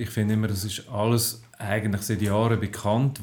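A man's fairly low, flat, monotone voice against noticeable background noise. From Switzerland, Aargau (Zofingen region). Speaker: science journalist. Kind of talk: casual chat. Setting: home kitchen. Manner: halting.

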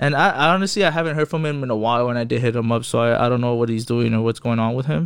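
Speaking very fast with hardly any pauses, a man keeps his loudness very even, his medium pitch moving with ordinary variation. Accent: Spanish. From Inland Empire, Southern California (Fontana). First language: Spanish. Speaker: podcast guest. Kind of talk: casual chat.

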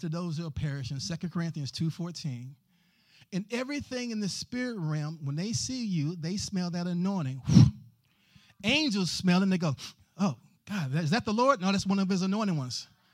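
Speaking at a fairly quick pace in a Texan accent, a man uses a high pitch and lively intonation. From Texas, Fort Worth. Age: 50s. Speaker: guest preacher. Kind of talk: sermon. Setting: church.

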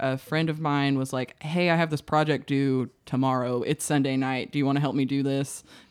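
A woman with an American accent speaks at a moderate pace in a very deep, low pitch, captured in a very clean recording with a silent background. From Arkansas, US South. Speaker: filmmaker. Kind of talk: casual chat. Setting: studio.

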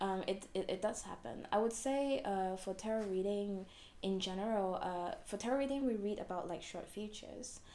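A woman speaks at a medium pitch and a moderate pace in a dark, mellow tone. Room echo can be heard. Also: ordinary pitch variation. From Hong Kong. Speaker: fortune teller. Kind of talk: interview.

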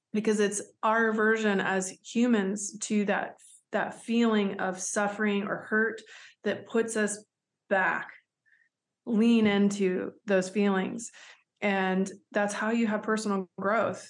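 A woman's very slow, monotone, flat delivery with a Southern US accent over a quiet background. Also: medium pitch for a woman. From US South. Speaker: human rights advocate. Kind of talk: interview.

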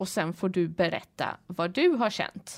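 On a very clean recording with a silent background, a woman speaks at a very slow pace. Her pitch swings very widely. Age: 30s. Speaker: breast cancer patient, after-school teacher. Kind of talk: interview testimony.

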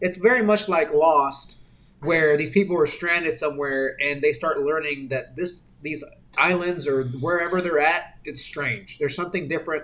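At a moderate pace, a man with an unremarkable speaking voice and a fairly high pitch shows ordinary variation in it. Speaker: podcast co-host. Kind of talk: casual chat.

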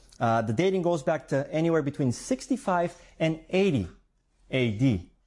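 A somewhat breathy man at a fairly high pitch, with very wide pitch swings, a fairly slow pace, long, frequent pauses and very even loudness, against a quiet background. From Bulgaria. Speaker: preacher. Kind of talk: sermon.

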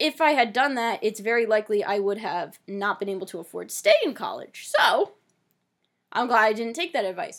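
Her voice is an ordinary speaking voice, fairly high-pitched with lively intonation, as a woman talks at a moderate pace in a very clean recording with a silent background. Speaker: podcast host. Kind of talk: casual chat.

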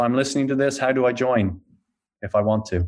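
A man speaks with an Irish accent. His intonation is monotone and flat. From Ireland. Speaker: podcast host. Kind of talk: interview.

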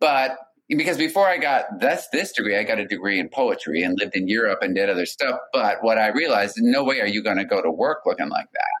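Hardly pausing, a man speaks at a fairly quick pace with very even loudness. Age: 50s. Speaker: speech language pathologist and author. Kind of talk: casual chat.

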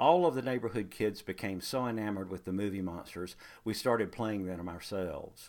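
The intonation is lively. The speaker has a North Carolina accent. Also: man, very clean recording, silent background. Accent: Southern US (North Carolina). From US South, Greensboro, North Carolina. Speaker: storyteller. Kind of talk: scripted narration.

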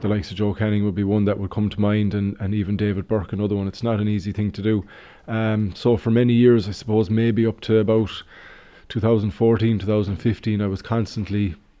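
In an Irish accent, a man rattles along at a very fast pace, his fairly low pitch held in a monotone, flat intonation. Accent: Irish (Galway). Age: 30s. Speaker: secondary school teacher and former hurler. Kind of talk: radio interview. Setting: on location at a school.

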